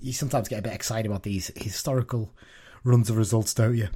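A man speaks at a fairly quick pace. His voice sits at medium pitch and sounds somewhat breathy. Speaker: podcast host. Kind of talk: casual chat.

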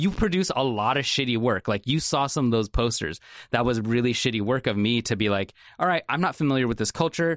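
A man with an American accent speaks in a plain, everyday voice at a medium pitch, with lively intonation and very even loudness at a fairly quick pace. The sound is dry and close with no echo, against a quiet background. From Salem, Oregon. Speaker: creative director. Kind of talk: casual chat.

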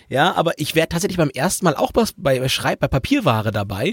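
The sound is dry and close with no echo, on a very clean recording with a silent background. A man speaks at a fairly quick pace with vocal fry and very wide pitch swings. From southern Lower Saxony. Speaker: travel podcast host. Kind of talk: casual chat.

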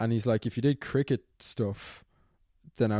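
A man with a Dublin accent and a dark, mellow tone at a fairly quick pace, the sound dry and close with no echo, in a very clean recording with a silent background. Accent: Dublin Irish, fairly posh. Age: 20s. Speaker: YouTuber and student. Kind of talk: casual interview.

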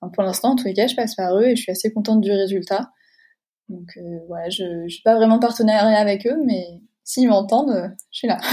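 A somewhat breathy, dark and mellow voice at a fairly quick pace with fairly even intonation. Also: woman. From France, Deux-Sèvres. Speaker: illustrator and graphic designer. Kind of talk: interview. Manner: hesitant, many fillers.

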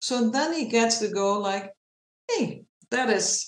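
A woman speaks with a Dutch accent at a fairly high pitch. Audible room echo surrounds her voice. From Netherlands. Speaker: animal behavior consultant and trainer. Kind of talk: interview.

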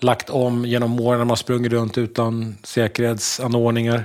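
A man with an ordinary speaking voice talks at medium pitch and a moderate pace. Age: 50s. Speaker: construction tradesman and podcast co-host. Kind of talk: casual chat.

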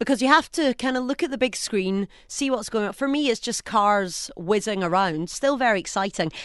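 Against a quiet background, a woman with a Scottish accent speaks in an animated tone at a fairly high pitch. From Scotland. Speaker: radio presenter. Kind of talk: casual chat. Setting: studio.

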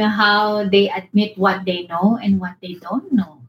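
A woman speaks in a medium-pitched voice. Her tone is somewhat breathy. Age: 50s. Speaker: academic scholar, co-host. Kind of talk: casual conversation. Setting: remote call.

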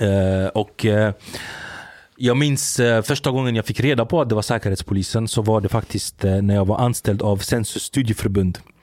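This man's voice has a dark, mellow tone, a medium pitch and a moderate pace. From Sweden, Gothenburg (Angered). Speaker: former salafist preacher. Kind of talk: interview. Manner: animated; halting.

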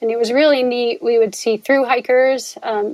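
With a normal speaking voice and an American accent, a woman talks at a fairly quick pace, her pitch fairly high and her intonation fairly even. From US Northeast, northwest New Jersey. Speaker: philosophy professor and ultrarunner. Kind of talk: casual interview conversation.

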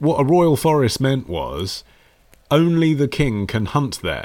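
Speaking fairly slowly with a British accent, a man uses lively intonation at a fairly high pitch. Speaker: podcast host. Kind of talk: casual conversational history chat.

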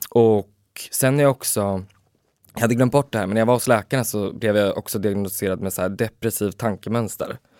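An unremarkable speaking voice moves at a fairly quick pace with fairly even intonation, recorded with a dry, close sound and no echo. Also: man, fairly low pitch for a man. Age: 20s. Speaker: podcast co-host. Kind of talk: casual chat.

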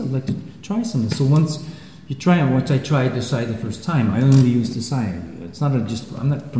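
Amid noticeable background noise and audible room echo, a man speaks at a fairly quick pace and medium pitch. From Switzerland. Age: 60s. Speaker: karate teacher. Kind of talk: interview. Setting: dojo.

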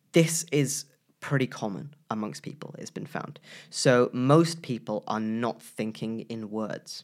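A man's plain, everyday voice at a medium pitch, with ordinary pitch variation, big swings in loudness and a fairly slow pace. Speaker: podcast co-host. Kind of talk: casual chat.

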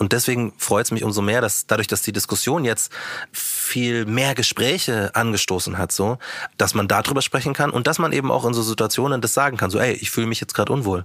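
A man at a fairly quick pace, with ordinary pitch variation and noticeable background noise. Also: medium pitch for a man. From Bavaria, small town near Munich. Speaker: rapper and radio presenter. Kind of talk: casual interview.

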